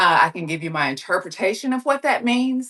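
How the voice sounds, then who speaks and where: Pitched fairly high, a woman's voice has a bright, sharp tone and very wide pitch swings. The recording is dry and close with no echo. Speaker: online reseller and livestream host. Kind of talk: casual livestream chat. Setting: indoors on exercise bike, livestream.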